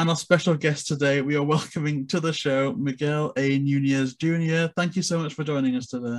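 In a plain, everyday voice, a man speaks at a moderate pace with hardly any pauses. His pitch is fairly high and his intonation fairly even. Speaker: interviewer. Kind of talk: casual interview. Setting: video call. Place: home room. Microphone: video call.

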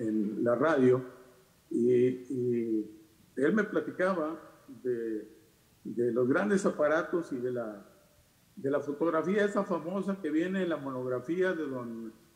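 A man speaks very slowly, with long, frequent pauses. His fairly high voice has lively intonation and audible room echo. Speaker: radio announcer. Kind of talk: panel discussion talk. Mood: nostalgic, respectful. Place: home room. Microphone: webcam.

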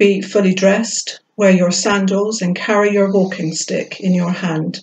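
A woman speaks at a fairly slow pace. Her tone is slightly mellow with a slightly husky edge.

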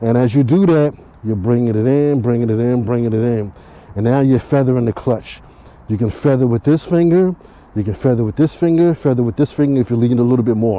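A man talks at a very fast pace. The sound is dry with no echo, and his pitch varies in an ordinary way. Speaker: motovlogger instructor. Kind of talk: tutorial. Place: street. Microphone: helmet.

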